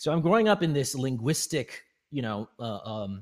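In a Canadian accent, a man of medium pitch speaks fairly slowly with lively intonation. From Canada, British Columbia. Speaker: English professor. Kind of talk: interview. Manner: halting, many fillers and repetitions.

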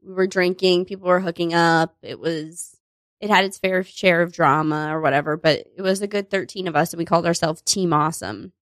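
A normal speaking voice with an American accent, fairly even intonation and a fairly quick pace, in a very clean recording over a silent background. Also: woman, fairly low pitch for a woman. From US Northeast, Connecticut beach town near New Haven. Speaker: comedian and improviser. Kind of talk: casual chat.

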